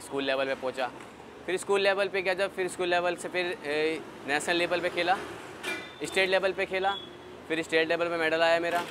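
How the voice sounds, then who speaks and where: This man's high voice moves at a moderate pace while noticeable background noise runs underneath. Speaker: athlete. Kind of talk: interview.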